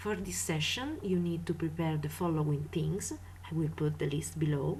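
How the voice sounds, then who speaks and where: A fairly slow-paced woman's voice amid audible room echo. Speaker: craft tutorial maker. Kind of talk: tutorial.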